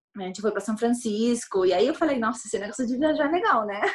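A woman's fairly high voice with ordinary pitch variation against a quiet background. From Chile, Santiago. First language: Spanish (speaking Portuguese). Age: 30s. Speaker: airline employee and traveler. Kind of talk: casual interview chat.

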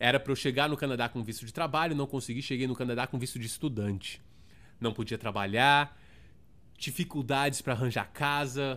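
With a São Paulo accent, an animated, bright, sharp tone comes at a fairly quick pace in a very clean recording with a silent background. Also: man, medium pitch for a man. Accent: Paulistano Brazilian Portuguese. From Brazil, São Paulo (Zona Sul). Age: 30s. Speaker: podcast host. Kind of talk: casual monologue.

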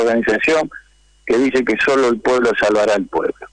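A plain, everyday voice from a man, mid-range in pitch and fairly flat in intonation. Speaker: trade union leader. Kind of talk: radio interview.

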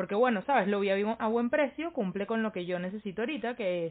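An ordinary speaking voice with lively intonation. The pace is moderate. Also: woman. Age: 20s. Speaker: podcast co-host. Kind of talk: casual chat.

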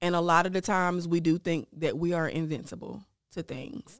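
A woman speaks in an ordinary speaking voice, fairly low in pitch, at a moderate pace. Her intonation stays fairly even, and the sound is dry and close with no echo. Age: 30s. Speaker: breast cancer survivor. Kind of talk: personal testimony.

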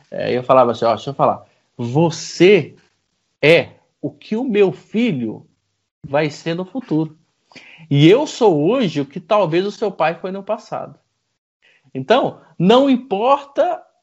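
A man's high-pitched voice at a very slow pace, with long, frequent pauses and very wide pitch swings. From Goiânia, central Brazil. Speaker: franchise business owner. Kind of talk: interview, life story.

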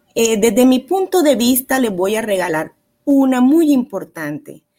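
A woman's fairly high, somewhat breathy voice with lively intonation, on a very clean recording with a silent background. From Barranquilla, Colombia. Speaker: psychologist. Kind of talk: advice talk on parenting.

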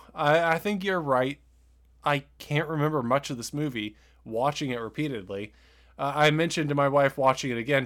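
A man speaks in a normal speaking voice with ordinary pitch variation. The recording is very clean, with a silent background. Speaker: podcast host. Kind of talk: casual chat, movie review podcast.

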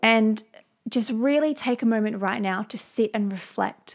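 At a moderate pace, a woman speaks in an ordinary speaking voice pitched fairly high. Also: very clean recording, silent background. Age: 20s. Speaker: podcast host. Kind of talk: solo podcast monologue.

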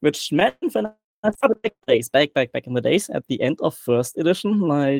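A man with a German accent speaks at a moderate pace. The sound is dry and close with no echo, on a very clean recording with a silent background. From Germany. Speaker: guest player and community moderator. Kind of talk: casual interview chat. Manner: jokey, positive.

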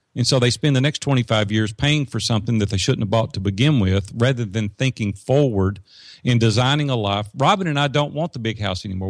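A man with an ordinary speaking voice talks at a fairly quick pace in a medium pitch with ordinary pitch variation, on a very clean recording with a silent background. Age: 50s. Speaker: business coach and entrepreneur. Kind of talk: interview conversation. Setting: studio.

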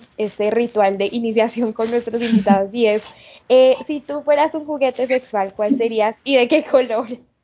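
A woman talks at a moderate pace in an unremarkable speaking voice. Her pitch is fairly high with ordinary pitch variation. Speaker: podcast host. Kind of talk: casual chat.

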